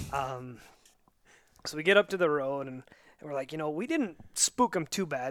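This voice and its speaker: Speaking fairly quickly in an unremarkable speaking voice, a man with a fairly high pitch and ordinary pitch variation is heard in a very clean recording with a silent background. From Montana. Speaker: saddle hunter. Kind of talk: casual chat. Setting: hunting lodge.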